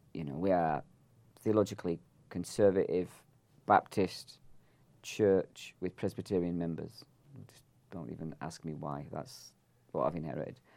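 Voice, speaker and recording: A man speaks with a very deep, low pitch, a dark, mellow tone and vocal fry. His loudness swings widely, and he takes long, frequent pauses. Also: ordinary pitch variation, moderate pace. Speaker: podcast host and church pastor. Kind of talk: casual chat interview. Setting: in-person, studio with cameras.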